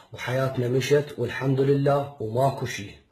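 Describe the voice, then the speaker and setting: Audible room echo surrounds a man speaking at a medium pitch and a fairly slow pace. His intonation is monotone and flat. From Iraq, Baghdad. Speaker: father pleading for help. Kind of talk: personal appeal video. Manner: emotional, repetitive pleading.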